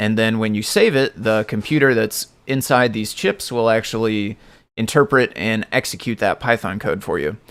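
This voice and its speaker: In a very clean recording with a silent background, a man talks at a moderate pace and medium pitch with ordinary pitch variation, in a plain, everyday voice. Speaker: live-coding streamer, software developer. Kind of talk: casual live stream tutorial.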